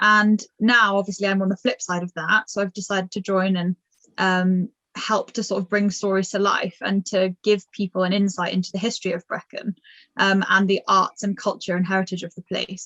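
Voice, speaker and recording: A woman speaks at a moderate pace in a medium pitch with monotone, flat intonation. Her tone is bright and sharp, and the sound is dry and close with no echo. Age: young. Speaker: art gallery manager and volunteer. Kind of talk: interview testimony.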